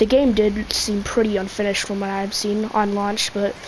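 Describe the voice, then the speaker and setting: A woman talks fairly slowly in a fairly high voice, with noticeable noise behind her. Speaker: gaming youtuber. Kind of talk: gameplay commentary rant. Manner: halting, stutters; filler-heavy casual.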